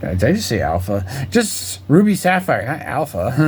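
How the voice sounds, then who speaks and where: A man talks at a fairly slow pace while audible room echo and noticeable background noise fill the recording. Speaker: card collector video creator. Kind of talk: casual collection showcase. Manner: casual, filler-heavy.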